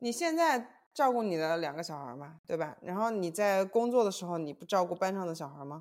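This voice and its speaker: The speaker has an ordinary speaking voice and a fairly quick pace with hardly any pauses. Intonation is lively, and loudness swings widely. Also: woman, fairly low pitch for a woman. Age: 30s. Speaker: podcast co-host. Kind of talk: casual chat.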